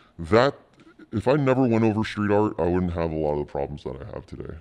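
Someone talks at a very fast pace in an American accent. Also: man. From Jersey City and Southern California. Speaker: graffiti artist. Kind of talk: casual interview chat. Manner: halting, filler-heavy.

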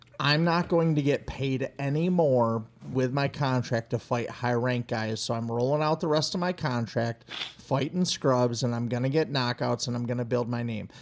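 At a moderate pace, a man with a medium pitch talks in a normal speaking voice. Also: ordinary pitch variation. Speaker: podcast co-host, wrestling coach. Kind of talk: casual chat.

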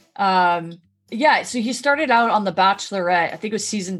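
A woman's medium-pitched voice at a fairly quick pace, with lively intonation and music in the background. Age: 30s. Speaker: podcast host. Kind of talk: casual chat.

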